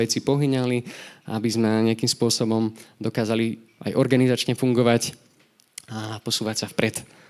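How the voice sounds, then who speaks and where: At a moderate pace, a man speaks in a plain, everyday voice at medium pitch. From Slovakia, Nové Zámky. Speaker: lay preacher. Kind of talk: sermon.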